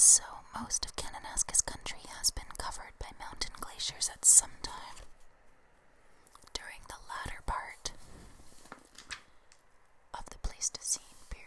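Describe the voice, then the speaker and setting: Someone whispers at a fairly slow pace with long, frequent pauses and big swings in loudness. Noticeable background noise runs underneath. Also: woman. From Canada. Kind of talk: ASMR book reading. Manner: whispered, up close; soft-spoken, slow.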